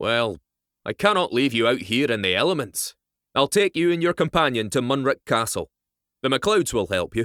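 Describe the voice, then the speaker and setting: In a raised, projected, gruff put-on character voice with very wide pitch swings, the speech moves at a moderate pace on a very clean recording with a silent background and a dry, close sound with no echo. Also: man, medium pitch for a man. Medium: read story. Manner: gruff, direct.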